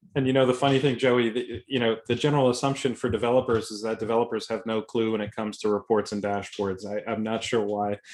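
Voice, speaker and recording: A man with a Boston accent speaks at a very fast pace with hardly any pauses. His medium-pitched voice keeps a fairly even intonation. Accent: thick Boston. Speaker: software consultant and speaker. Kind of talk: webinar presentation. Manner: informal.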